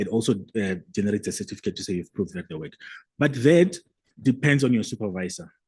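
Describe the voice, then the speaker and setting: With a Limpopo accent, a man talks at a very fast pace, his loudness swinging widely and his pitch swinging very widely. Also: medium pitch for a man. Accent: South African (Limpopo) English. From South Africa, Limpopo. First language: a South African language (English is seventh). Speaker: academic presenter. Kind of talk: conference Q&A answer.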